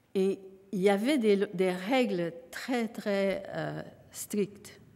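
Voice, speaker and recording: Medium pitch and ordinary pitch variation in a woman's speech. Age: 80s+. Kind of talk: acceptance speech. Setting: stage with audience. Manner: halting.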